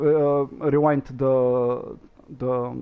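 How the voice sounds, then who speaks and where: A man is speaking. His pitch is medium. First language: not English. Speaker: gaming streamer. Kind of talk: gameplay commentary. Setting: live stream. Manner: halting, many fillers.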